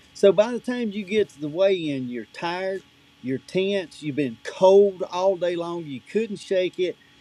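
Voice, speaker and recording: Fairly slow speech with lively intonation and big swings in loudness, over music in the background. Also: man, high pitch for a man. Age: 50s. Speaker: outdoor gear company representative and tournament angler. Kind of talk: podcast interview, product talk. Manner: animated.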